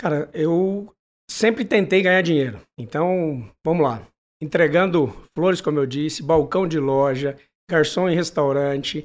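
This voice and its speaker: At a fairly slow pace, a man with a normal speaking voice talks in a fairly high pitch, with ordinary pitch variation. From Brazil, Manaus and São José do Rio Preto. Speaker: lawyer and business executive. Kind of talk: interview.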